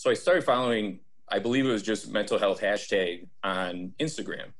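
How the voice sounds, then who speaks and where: The speaker has an Upper Midwest accent. The recording is very clean, with a silent background. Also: man. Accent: Upper Midwest American. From Wisconsin, Fond du Lac. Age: 30s. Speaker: sales professional and diversity trainer. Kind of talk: interview conversation.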